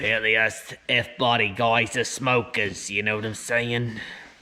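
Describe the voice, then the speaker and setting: A man puts on a raspy character voice at a medium pitch, flat and monotone, at a moderate pace. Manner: casual, rhetorical.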